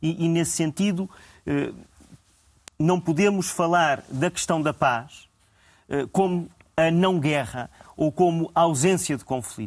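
A man with a high pitch speaks at a very slow pace, leaving long, frequent pauses. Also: ordinary pitch variation. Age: young. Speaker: historian. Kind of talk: panel discussion. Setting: TV studio. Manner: formal.

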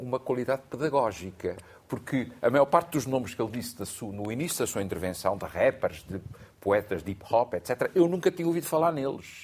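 Pitch swinging very widely, a man speaks at a moderate pace. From Portugal, Azores (Terceira island). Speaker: literature professor and essayist. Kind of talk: studio panel discussion. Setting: studio.

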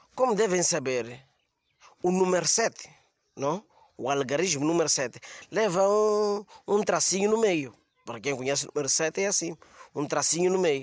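With lively intonation and a high pitch, a man speaks at a moderate pace broken by long, frequent pauses. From Mozambique. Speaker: comedian. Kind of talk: comedy monologue. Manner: halting.

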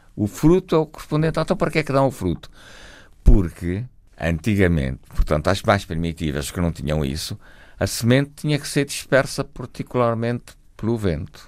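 A man's fairly low voice carries vocal fry and very wide pitch swings, captured in a very clean recording with a silent background. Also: moderate pace. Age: 80s+. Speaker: botanist and retired professor. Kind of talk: radio interview.

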